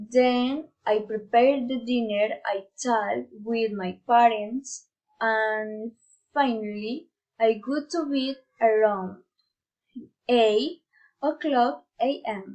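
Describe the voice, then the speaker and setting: A woman speaks at a very slow pace, her pitch fairly high. Long, frequent pauses break up her speech. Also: ordinary pitch variation. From Colombia, Putumayo. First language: Spanish. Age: 20s. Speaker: university student. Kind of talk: prepared monologue for class. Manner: halting.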